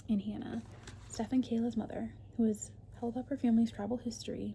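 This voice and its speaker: A woman speaking amid noticeable background noise. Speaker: ASMR content creator. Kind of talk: reading a book jacket description aloud. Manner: soft-spoken, whispered.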